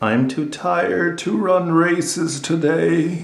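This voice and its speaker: Using a put-on character voice, a man speaks at a fairly slow pace with a fairly high pitch and ordinary pitch variation. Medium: read story. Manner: gentle, warm.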